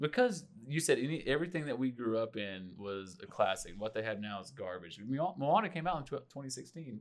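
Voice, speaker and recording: Barely pausing, a man talks at a moderate pace. His medium pitch swings very widely. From Oklahoma. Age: 30s. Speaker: podcast co-host. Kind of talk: casual chat.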